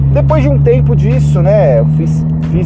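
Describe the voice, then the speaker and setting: Very wide pitch swings from a man at a fairly slow pace, with audible room echo and noticeable background noise. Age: 30s. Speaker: podcast host, automotive journalist. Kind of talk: casual monologue. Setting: in a car.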